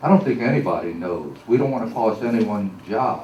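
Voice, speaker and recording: Against audible room echo, a man talks at a moderate pace and a medium pitch. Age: 70s. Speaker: public commenter at council meeting. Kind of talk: public comment. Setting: council meeting chamber.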